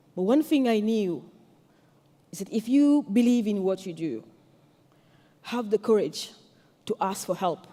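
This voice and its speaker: A woman with a French accent speaks at a fairly slow pace, her fairly high voice dark and mellow in tone. Her intonation is lively, broken by long, frequent pauses. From Senegal. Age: 40s. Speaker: tech entrepreneur and activist. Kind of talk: conference speech.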